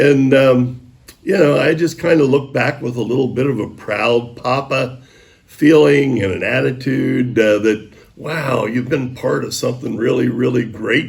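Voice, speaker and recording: A man with a medium pitch and ordinary pitch variation talks at a fairly slow pace amid an audible room echo and noticeable background noise. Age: 70s. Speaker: high school sports broadcaster. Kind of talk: interview.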